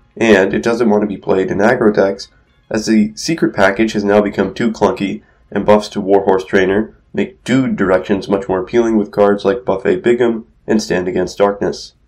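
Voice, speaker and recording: Over music in the background, a man speaks at a moderate pace with fairly even intonation. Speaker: gaming content creator. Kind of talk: video game commentary narration. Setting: recorded without usual microphone.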